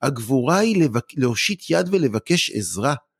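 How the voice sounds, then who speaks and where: Somewhat breathy, a man speaks fairly slowly with very wide pitch swings. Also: dry, close sound with no echo. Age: 40s. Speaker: anger-management expert and lecturer. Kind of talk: casual interview.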